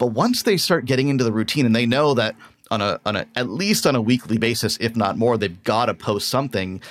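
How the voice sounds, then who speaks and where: In a very clean recording with a silent background, a man talks at a fairly quick pace in a normal speaking voice, his medium pitch showing ordinary pitch variation. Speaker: podcast host. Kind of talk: interview.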